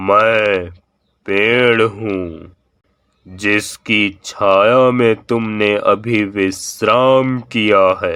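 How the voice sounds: A cartoonish character voice speaks at a very slow pace. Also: man, fairly low pitch for a man.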